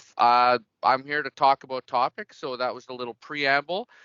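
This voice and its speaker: In a Canadian accent, a man with a medium pitch talks at a moderate pace in a normal speaking voice. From Canada, Winnipeg. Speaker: digital workplace consultant. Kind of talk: presentation.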